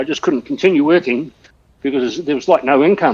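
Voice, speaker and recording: The speaker has a New Zealand accent. The pace is very fast. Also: man. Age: 60s. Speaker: telecom copper-line technician and cyclist. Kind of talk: casual chat during online cycling ride. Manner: hesitant, many fillers and restarts.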